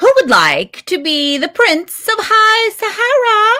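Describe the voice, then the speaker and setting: This is a put-on character voice with a squeaky sound. It moves at a fairly slow pace. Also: female-sounding voice. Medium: read story. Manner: mocking.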